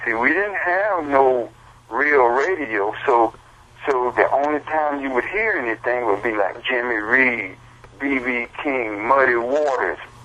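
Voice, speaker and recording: Noticeable background noise sits behind a man with an American accent and a medium pitch. He speaks at a fairly slow pace with lively intonation. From US South, Columbia, South Carolina. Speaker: blues musician. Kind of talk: interview storytelling.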